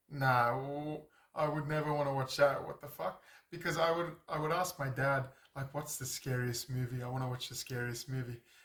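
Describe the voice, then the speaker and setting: Speaking with an Australian accent, a man uses a fairly high pitch, fairly even intonation and a moderate pace. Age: 30s. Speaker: YouTuber. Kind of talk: casual monologue. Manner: halting.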